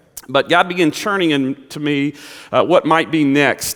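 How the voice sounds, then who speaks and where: Speaking in a Southern US accent, a man uses a fairly high pitch and fairly even intonation. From Kentucky. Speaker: pastor. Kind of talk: sermon.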